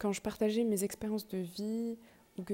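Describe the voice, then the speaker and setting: Speaking at a moderate pace, the woman has a dark, mellow tone. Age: 20s. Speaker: podcast host, medical student. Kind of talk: casual monologue. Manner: halting.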